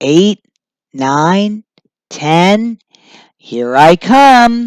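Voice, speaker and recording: A female-sounding voice puts on a character voice. The pitch sits in the middle range. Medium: read story. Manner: eager, bold.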